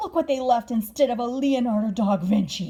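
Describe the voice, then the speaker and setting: This female-sounding voice is a put-on character voice with a high pitch. It moves at a moderate pace. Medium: read story.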